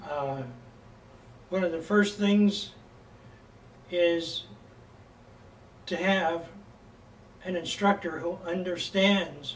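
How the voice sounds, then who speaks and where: With an American accent, a man speaks at a very slow pace and a high pitch, his intonation fairly even, amid audible room echo. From California, US. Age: 70s. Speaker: bagpipe instructor. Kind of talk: lecture. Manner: halting, many fillers.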